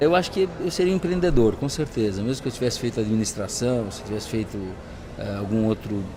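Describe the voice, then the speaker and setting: A man delivers his words at a fairly quick pace. Noticeable background noise sits behind him. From Brazil, São Paulo. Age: 60s. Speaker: entrepreneur and business coach. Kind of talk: interview. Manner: hesitant, many fillers.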